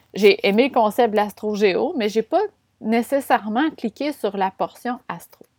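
A woman speaks with a Quebec accent. Her pitch is fairly high, with ordinary pitch variation. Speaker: podcast host, business and astrology coach. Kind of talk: casual solo monologue. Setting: room with windows open. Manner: animated, frequent laughs.

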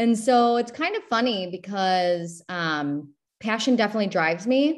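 A woman with an ordinary speaking voice, a medium pitch and lively intonation is heard in a very clean recording with a silent background. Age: 30s. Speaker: benefits broker. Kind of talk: interview.

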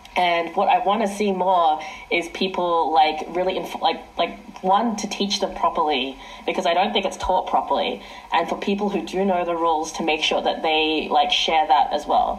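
Woman at medium pitch and moderate pace with ordinary pitch variation, amid noticeable background noise and audible room echo. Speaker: ultimate frisbee team captain. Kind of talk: interview. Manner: loud.

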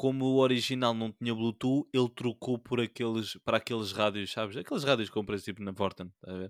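Medium in pitch, a man talks at a fairly quick pace with ordinary pitch variation. The recording is very clean with a silent background, dry and close with no echo. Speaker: podcast co-host. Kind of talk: casual chat. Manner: animated.

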